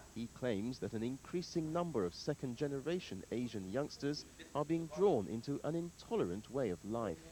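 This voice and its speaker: Speaking at a moderate pace, a man with a medium pitch and a dark, mellow tone swings very widely in pitch. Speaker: TV news reporter. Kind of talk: TV news report narration.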